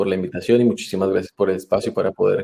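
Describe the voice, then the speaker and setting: A man is speaking. His pace is very fast. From Colombia, Bogotá. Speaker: photographer, former student. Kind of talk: online Q&A interview. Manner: hesitant, many fillers.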